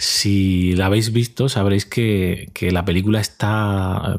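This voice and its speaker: The speaker is male. He delivers every line in a flat, monotone way. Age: 40s. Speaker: podcast host. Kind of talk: casual monologue.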